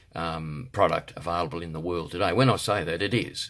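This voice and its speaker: This man has a very deep, low pitch. He speaks with an Australian accent. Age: 60s. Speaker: health product seller and martial arts instructor. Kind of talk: product promotion monologue. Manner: halting, many fillers.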